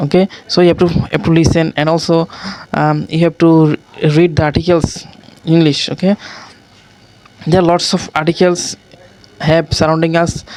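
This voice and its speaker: A voice with a non-native accent comes through over noticeable background noise. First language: not English. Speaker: English learner. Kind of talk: casual talk to camera. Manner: hesitant, with many fillers.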